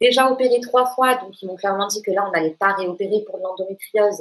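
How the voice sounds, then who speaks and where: Medium in pitch with ordinary variation, a woman's voice moves at a moderate pace. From southern France, Toulouse. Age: 30s. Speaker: patient sharing testimony. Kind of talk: testimony in casual interview. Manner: hesitant, many fillers.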